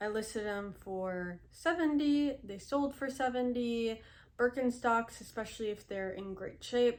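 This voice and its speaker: A woman in an ordinary speaking voice talks at a fairly high pitch with ordinary pitch variation. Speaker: reseller vlogger. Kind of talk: casual tutorial vlog. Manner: conversational, with fillers.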